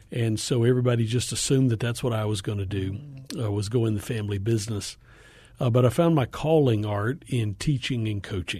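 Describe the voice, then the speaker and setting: A man with an American accent speaks at a fairly quick pace and medium pitch, with ordinary pitch variation. His tone is dark and mellow, somewhat breathy, over a quiet background. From US South, Appalachian northeast Georgia. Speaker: education nonprofit executive. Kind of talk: radio interview.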